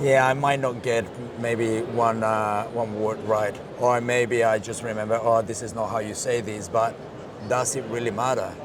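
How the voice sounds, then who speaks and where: In a Colombian accent, the voice moves at a fairly slow pace in a monotone, flat way. Audible room echo and noticeable background noise surround it. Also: man. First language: Spanish. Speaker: marketing director. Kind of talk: interview.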